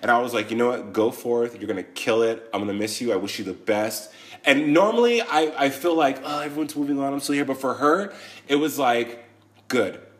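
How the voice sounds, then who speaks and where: This man has an unremarkable speaking voice at a medium pitch with ordinary pitch variation. He talks at a fairly quick pace. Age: 30s. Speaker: podcast co-host, entertainer. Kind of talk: casual chat. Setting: studio.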